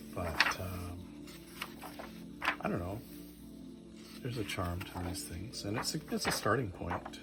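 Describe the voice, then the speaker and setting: With music in the background, the speaker keeps a calm, relaxed tone and a fairly slow pace, using ordinary pitch variation and long, frequent pauses. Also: man, very deep, low pitch for a man. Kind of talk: casual talk to camera, book flip-through. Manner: mellow, calm, relaxed; soft-spoken.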